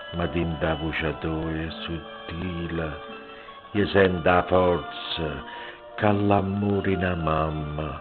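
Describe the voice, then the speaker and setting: A man with a very deep, low voice speaks at a very slow pace, with long, frequent pauses and music in the background. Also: ordinary pitch variation. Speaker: poetry reciter. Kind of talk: poetry reading.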